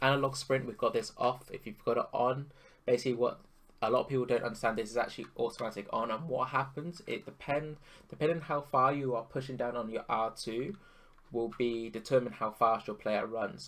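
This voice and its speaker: Quiet and fairly quick, a man speaks at a medium pitch with ordinary pitch variation. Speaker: gaming YouTuber, pro FIFA player. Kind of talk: tutorial. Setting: home recording at night. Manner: quiet, subdued to avoid waking others; casual with many fillers and restarts. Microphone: voice may sound quiet.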